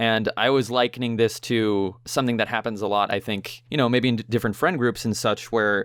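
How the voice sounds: The reading voice sounds natural, with intonation that stays fairly even.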